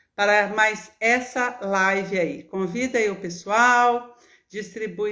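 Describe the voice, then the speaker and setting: A woman speaks in a Minas Gerais accent at a fairly high pitch. Her pace is very slow. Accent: mineiro. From Minas Gerais, Brazil. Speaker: nutritionist and gerontologist. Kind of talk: live stream talk to viewers. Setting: live video stream. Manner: warm, chatty.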